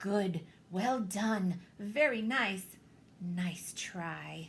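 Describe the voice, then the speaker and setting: A woman's put-on character voice at a very slow pace, medium in pitch with ordinary pitch variation. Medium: read story. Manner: prim, genteel.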